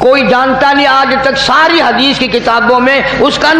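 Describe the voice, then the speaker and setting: A man talks in an extremely high pitch with a raised, projected voice. Noticeable background noise sits behind him. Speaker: Islamic preacher delivering a sermon. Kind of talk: Islamic sermon (bayan), lecturing to an audience. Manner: conversational, storytelling, with humorous asides.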